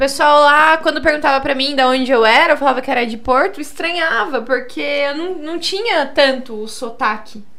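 A woman's raised, projected voice comes through high-pitched, bright and sharp, with ordinary pitch variation, big swings in loudness and hardly any pauses. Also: moderate pace. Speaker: podcast host. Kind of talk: casual chat.

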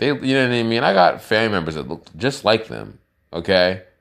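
Against a quiet background, a man talks at a moderate pace in an animated tone with lively intonation. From US, Pennsylvania (Lancaster). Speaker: podcaster. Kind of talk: casual monologue.

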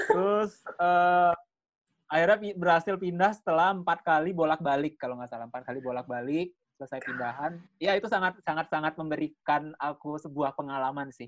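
In an unremarkable speaking voice, a man speaks at a fairly quick pace with fairly high pitch, ordinary pitch variation and big swings in loudness against a quiet background. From Bali. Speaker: content creator. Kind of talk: casual chat.

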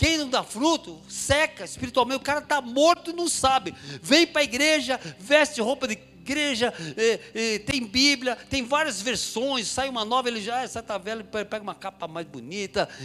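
A man with an extremely high pitch uses a raised, projected voice and lively intonation at a moderate pace. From São Paulo, Brazil (Mooca, east side). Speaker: preacher. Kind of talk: sermon. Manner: animated.

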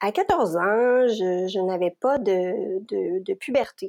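A woman's dark, mellow voice at a medium pitch, with ordinary pitch variation and a very slow pace, over a quiet background. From Quebec. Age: 40s. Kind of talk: personal testimony interview. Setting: remote recording. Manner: hesitant with many fillers.

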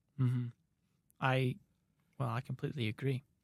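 The voice is somewhat breathy and monotone, with flat intonation and a dry, close sound with no echo. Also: man. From England, Peterborough area. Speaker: student and compensation analyst. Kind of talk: casual interview. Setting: in-person recording.

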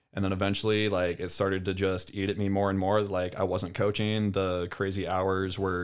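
A man speaks at a moderate pace in a very deep, low voice. His intonation is monotone and flat. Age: 20s. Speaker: CrossFit and nutrition coach. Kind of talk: casual chat. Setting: studio.

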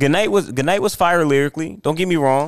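This man talks with lively intonation. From New Jersey. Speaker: rapper. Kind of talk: casual interview. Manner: halting, repeats words.

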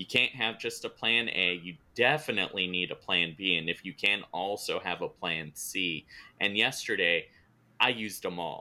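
A man with an American accent talks at a moderate pace. His voice is very deep and low, with ordinary pitch variation. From California. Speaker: podcast host. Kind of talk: interview.

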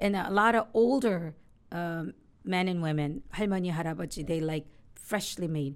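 A woman with a Korean accent and fairly low pitch, ordinary pitch variation, on a very clean recording with a silent background. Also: moderate pace. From South Korea (Seoul), moved to Hawaii in high school. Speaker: immigration lawyer. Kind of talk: casual interview.

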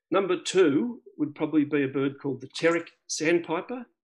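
With an Australian accent, a man speaks at a moderate pace. His pitch is high and his intonation lively. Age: 50s. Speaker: birdwatcher and club member. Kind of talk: interview. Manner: halting.

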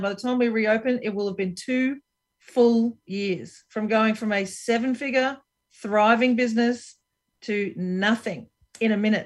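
A woman with an Australian accent speaks at a fairly high pitch, with ordinary pitch variation. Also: quiet background. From Brisbane, Queensland, Australia. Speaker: business strategist and entrepreneur. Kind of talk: interview.

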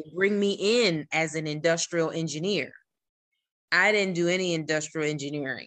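A woman with an American accent has an unremarkable speaking voice, a fairly low pitch, ordinary pitch variation and a moderate pace. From New Jersey. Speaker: civil engineer and author. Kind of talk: casual interview.

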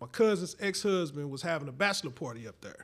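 Speaking at a fairly quick pace, a man with an American accent uses a high voice with a bright, sharp tone. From St. Louis, Missouri. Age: 30s. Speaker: podcast host. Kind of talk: casual chat.

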